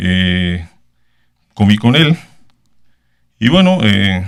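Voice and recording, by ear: Very slow, the clear, smooth voice carries vocal fry and big pitch swings. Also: man, fairly low pitch for a man.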